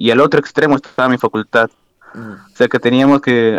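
The speech moves at a very fast pace with ordinary pitch variation. The sound is dry and close, with no echo. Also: man. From Peru, Lima. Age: 20s. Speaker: university student and amateur footballer. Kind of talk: casual interview.

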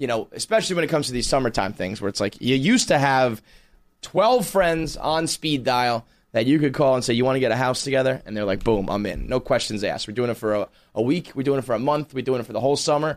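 In an American accent, the speaker talks at a very fast pace with ordinary pitch variation. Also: man. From New York City. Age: 30s. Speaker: podcast host. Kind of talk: casual monologue.

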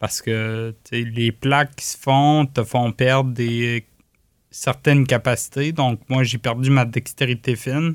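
In a very clean recording with a silent background and a dry, close sound with no echo, a man speaks very slowly at a medium pitch with monotone, flat intonation. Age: 30s. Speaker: cyclist with multiple sclerosis. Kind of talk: testimony.

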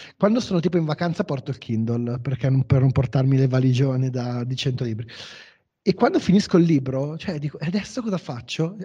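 Lively intonation carries a dark, mellow tone that is somewhat breathy. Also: man. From northern Italy, Como. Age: 30s. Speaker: podcast host. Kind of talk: interview.

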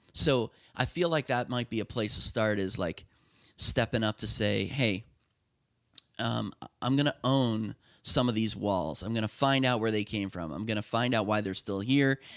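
A man with an ordinary speaking voice talks at a moderate pace and medium pitch, with ordinary pitch variation. The sound is dry and close, with no echo. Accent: American. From Lancaster County, Pennsylvania. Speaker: software company founder. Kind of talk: interview.

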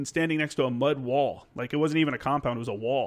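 In an unremarkable speaking voice, a man talks at a fairly quick pace with an American accent. His pitch is fairly high, with ordinary pitch variation. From US South, Tennessee. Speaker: podcast host, Marine veteran. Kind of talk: casual chat.

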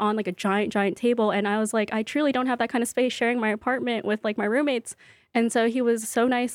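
At a fairly quick pace, a woman with a fairly high pitch speaks in a monotone, flat intonation. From US West Coast, Bay Area and Central Valley, California. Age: 20s. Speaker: cookbook author and baker. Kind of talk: interview. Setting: studio.

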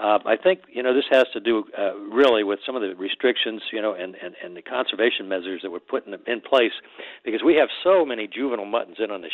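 This man talks at a very fast pace with an American accent. His pitch sits fairly low. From Florida Keys. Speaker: fishing shop owner calling in with report. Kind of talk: casual chat. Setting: phone call.

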